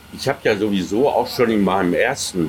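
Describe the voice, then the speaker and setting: A man is heard over noticeable background noise. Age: 70s. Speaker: author and science fiction historian. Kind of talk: interview. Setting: outdoor restaurant. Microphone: poor sound quality.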